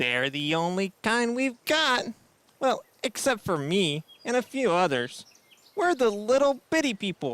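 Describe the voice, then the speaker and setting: In a put-on character voice, the speaker goes fairly high in pitch with very wide swings, moving at a fairly slow pace. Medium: audio drama. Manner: friendly, casual.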